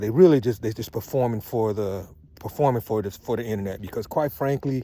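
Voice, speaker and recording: This man's voice has a dark, mellow tone. His pitch varies in an ordinary way. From US West Coast, Southeast San Diego. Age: 60s. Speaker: vlogger, Morehouse alumnus. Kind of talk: casual monologue vlog. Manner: conversational, emphatic.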